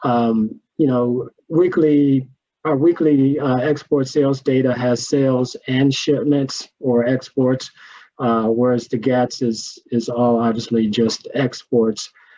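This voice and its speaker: A man with a Louisiana accent talks at a very slow pace and medium pitch. His loudness stays very even, and his intonation is fairly even. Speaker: agricultural economist. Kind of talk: panel Q&A.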